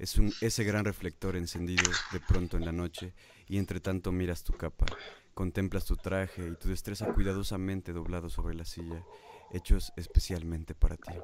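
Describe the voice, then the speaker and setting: A Mexican accent at a moderate pace, with flat, monotone intonation, big swings in loudness and noticeable background noise. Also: man, very deep, low pitch for a man. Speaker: radio host. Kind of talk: casual chat; poetry reading aloud. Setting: live online stream.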